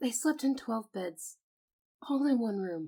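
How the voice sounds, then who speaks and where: A soft-spoken woman talks very slowly in a calm tone, her pitch swinging very widely. The recording is very clean, with a silent background. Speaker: voice actor. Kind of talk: sleep story. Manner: calm, soft-spoken.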